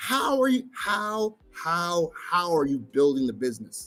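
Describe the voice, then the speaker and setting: A man with an American accent, fairly slow pace and very wide pitch swings, music in the background. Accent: American accent in Trinidad. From US, raised abroad. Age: 30s. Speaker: tech entrepreneur. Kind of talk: conference talk.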